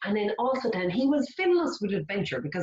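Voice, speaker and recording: In a Kildare Irish accent, a woman with a fairly high voice sounds animated, her pitch swinging very widely. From Ireland, County Kildare. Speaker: children's author. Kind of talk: storytime workshop for young children. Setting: online video workshop.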